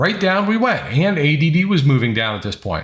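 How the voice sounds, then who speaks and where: A man talks at a moderate pace with vocal fry, an animated tone and very wide pitch swings, on a very clean recording with a silent background. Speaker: day trading educator. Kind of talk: trading recap tutorial. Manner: casual, animated.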